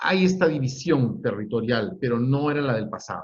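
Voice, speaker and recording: The man's voice comes out somewhat breathy. His intonation is lively. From Peru, Lima. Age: 60s. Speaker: historian. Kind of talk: lecture. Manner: halting.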